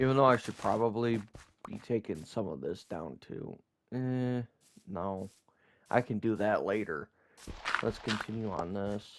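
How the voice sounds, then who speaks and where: A man speaks at a fairly slow pace in a fairly low pitch with ordinary pitch variation. He leaves long, frequent pauses. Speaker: gaming YouTuber. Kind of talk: gameplay commentary. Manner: quiet, sparse talk.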